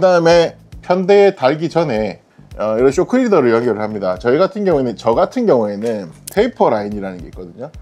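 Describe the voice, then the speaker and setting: A man races along at a very fast pace, his pitch swinging very widely while music plays in the background. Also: medium pitch for a man. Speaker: fishing instructor. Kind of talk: casual instructional talk to camera.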